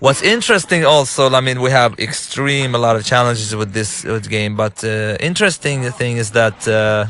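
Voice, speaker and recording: A man's medium-pitched voice with an Arabic accent, ordinary pitch variation, a moderate pace, hardly any pauses and noticeable background noise. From Lebanon. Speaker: game director and filmmaker. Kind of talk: gameplay commentary. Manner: halting, many fillers and restarts.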